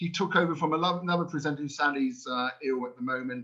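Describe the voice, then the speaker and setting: A man's high-pitched, bright, sharp voice with lively intonation and a British accent. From New Zealand. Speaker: language school director presenting a webinar. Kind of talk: webinar quiz for teachers. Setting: online webinar. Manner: animated.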